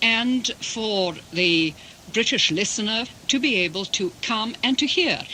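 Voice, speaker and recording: Over noticeable background noise, a woman speaks at a fairly high pitch and a fairly slow pace, with lively intonation and very even loudness. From England, Russian émigré family. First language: Russian. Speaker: interpreter. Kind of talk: interview.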